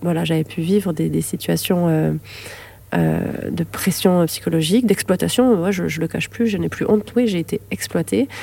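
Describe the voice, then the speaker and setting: A woman at a moderate pace with a slight southern French accent. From southern France, Lamalou-les-Bains (Hérault). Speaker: neurobiologist and author. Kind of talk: interview testimony. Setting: library.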